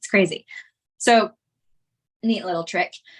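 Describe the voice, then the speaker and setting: In a very clean recording with a silent background, a woman speaks in an animated tone at a medium pitch with ordinary pitch variation. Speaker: art instructor. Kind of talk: live workshop tutorial. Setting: live stream. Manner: fast.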